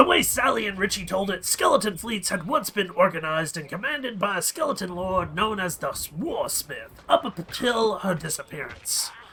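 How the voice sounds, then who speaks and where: Clear background noise sits behind a man putting on a high-pitched character voice. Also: moderate pace, hardly any pauses. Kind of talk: adventure story reading. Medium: game stream.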